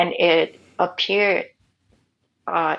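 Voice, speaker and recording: Fairly low in pitch with vocal fry, a woman speaks with a Vietnamese accent. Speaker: writer and nomad. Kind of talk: interview conversation.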